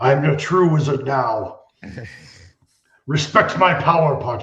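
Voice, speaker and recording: Here a man performs a put-on character voice. It sits at a fairly high pitch. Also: moderate pace. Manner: grand, proud.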